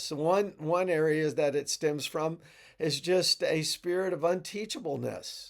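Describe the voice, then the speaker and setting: Recorded very cleanly against a silent background, a high-pitched man speaks at a very slow pace. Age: 60s. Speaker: pastor. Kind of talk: devotional talk. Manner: halting, with frequent repetitions and fillers.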